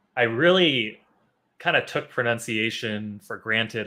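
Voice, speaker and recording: A man speaks with a Chicago accent. His pitch sits in the medium range. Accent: Chicago American English. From US Midwest, Chicago. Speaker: English teacher. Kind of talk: live online class. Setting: live stream.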